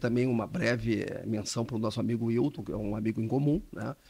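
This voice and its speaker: A man with an unremarkable speaking voice talks at a fairly quick pace and medium pitch with ordinary pitch variation, in a very clean recording with a silent background. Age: 60s. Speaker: intellectual property lawyer. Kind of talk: podcast interview.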